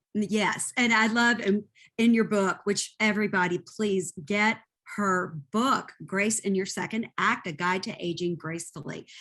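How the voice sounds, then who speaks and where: A woman's bright, sharp voice at a fairly slow pace over a quiet background. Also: medium pitch for a woman, ordinary pitch variation. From Kentucky. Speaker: podcast host. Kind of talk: casual interview chat.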